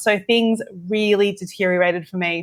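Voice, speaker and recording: Medium pitch from a woman with an Australian accent on a very clean recording with a silent background. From Australia, Western Sydney. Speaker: teacher. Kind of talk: interview.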